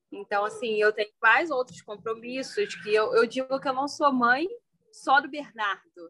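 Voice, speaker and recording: Using a raised, projected voice, a woman speaks at a high pitch and a fairly slow pace, with lively intonation and a bright, sharp tone, in a dry, close sound with no echo. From Brazil, Petrópolis (Rio de Janeiro state). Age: 20s. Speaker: law student and mother. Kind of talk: casual chat.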